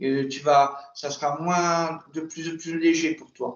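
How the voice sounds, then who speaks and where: A man with a fairly high pitch, at a very slow pace. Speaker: regression hypnosis practitioner. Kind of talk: post-session debrief with client. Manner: halting, many repetitions.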